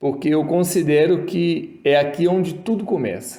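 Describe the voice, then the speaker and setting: With a rural Minas Gerais accent, a man with a fairly high pitch and a dark, mellow tone speaks at a fairly slow pace amid audible room echo. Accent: Minas Gerais (mineiro), rural. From Brazil, Minas Gerais (Ponte Nova). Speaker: toolmaking instructor, YouTuber. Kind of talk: casual tutorial talk.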